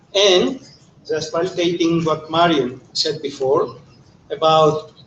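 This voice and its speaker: A man speaks in a high voice. Noticeable background noise runs behind him. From Greece. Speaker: economist. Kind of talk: panel talk.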